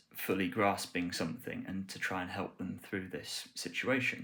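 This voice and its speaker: There is a bright, sharp tone to this man's voice, and his intonation is fairly even. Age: 20s. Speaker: English language teacher. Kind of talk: self-introduction video for tutoring profile. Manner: hesitant, many fillers.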